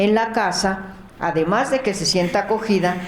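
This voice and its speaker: A woman speaks at a fairly slow pace. Noticeable background noise and audible room echo surround her. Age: 70s. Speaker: charity founder, nurse. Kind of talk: testimony.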